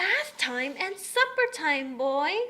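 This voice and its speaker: Using a put-on character voice, a woman speaks high with very wide pitch swings. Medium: read story. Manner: warm, fond.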